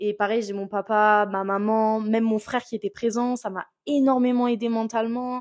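In a very clean recording with a silent background, a woman speaks in a monotone, flat intonation. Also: moderate pace. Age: 20s. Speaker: wrestler and sports student. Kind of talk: podcast interview.

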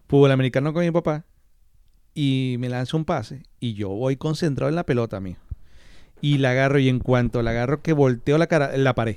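The very clean recording has a silent background, and a man talks at a fairly quick pace with medium pitch. He has a plain, everyday voice with ordinary pitch variation. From Maracaibo, Venezuela. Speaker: podcast co-host. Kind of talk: casual chat.

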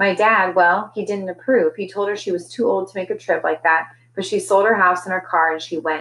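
Ordinary pitch variation in plain reading aloud

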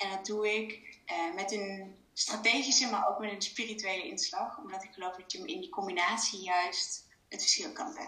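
A woman speaks at a moderate pace with hardly any pauses, her pitch varying in an ordinary way while her loudness swings widely. The recording has audible room echo and noticeable background noise. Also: medium pitch for a woman. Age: 30s. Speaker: business coach. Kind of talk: interview. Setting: video call. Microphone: echo in room.

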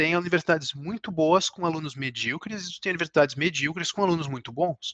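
Bright and sharp in tone, a man's high-pitched voice comes through dry and close with no echo. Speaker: chemical engineer. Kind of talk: interview. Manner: halting, many repetitions.

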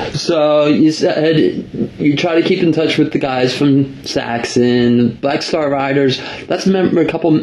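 Fairly slow, fairly even intonation and very even loudness, with an American accent over noticeable background noise. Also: man. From US, New Jersey. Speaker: radio host. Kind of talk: casual interview.

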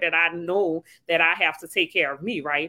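In a New Orleans accent, a woman speaks with a bright, sharp tone in a dry, close sound with no echo. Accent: New Orleans Louisiana. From New Orleans, Louisiana. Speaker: mindset coach and author. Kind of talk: casual podcast conversation.

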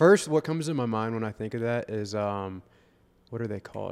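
Talking at a fairly quick pace with an American accent, a man uses an ordinary speaking voice of medium pitch with ordinary pitch variation. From Florida, Vero Beach. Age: 20s. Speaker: real estate agent and fitness coach. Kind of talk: casual chat. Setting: coffee shop.

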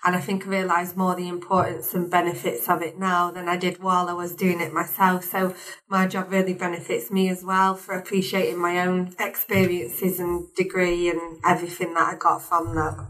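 With a strong northern English accent, the speaker rattles along at a fairly quick pace in a monotone, flat intonation, with hardly any pauses. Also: woman, fairly low pitch for a woman. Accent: strong northern English (Warrington). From Warrington, northern England. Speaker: higher education engagement assistant. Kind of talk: casual chat.

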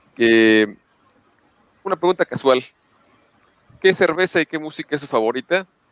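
Speaking at a fairly slow pace with a Mexican accent, a man uses lively intonation and a fairly high pitch, the sound dry and close with no echo. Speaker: podcast co-host. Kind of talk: casual chat.

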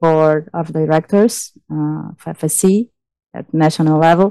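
A woman talks at a very slow pace with ordinary pitch variation. She speaks with a Brazilian accent. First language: Portuguese. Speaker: forest engineer. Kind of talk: interview.

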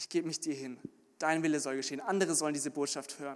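A man speaks with lively intonation. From Munich, Bavaria, Germany. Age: 20s. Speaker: theology student, intern preacher. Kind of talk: sermon. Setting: church service, also livestreamed. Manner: halting with frequent repetitions.

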